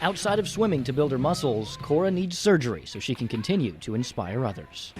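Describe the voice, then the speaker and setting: A man talks at a fairly quick pace with a fairly high pitch and vocal fry. His pitch swings very wide. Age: young. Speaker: TV news reporter. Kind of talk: TV news report.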